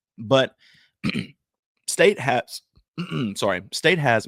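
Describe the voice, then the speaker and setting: Putting on a character voice, a man speaks raspily at a medium pitch with very wide pitch swings. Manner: feigned emotion.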